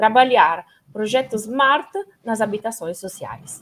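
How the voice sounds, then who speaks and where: A woman speaks with an Italian accent. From Italy. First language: Italian (speaking Portuguese). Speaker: company representative. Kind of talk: panel discussion.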